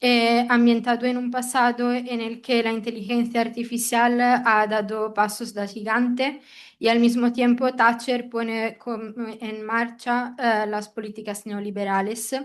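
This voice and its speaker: Fairly high in pitch, a woman speaks fairly slowly with monotone, flat intonation. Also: quiet background. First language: not Spanish (speaking Spanish). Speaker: seminar attendee. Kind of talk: seminar question. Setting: hybrid seminar room.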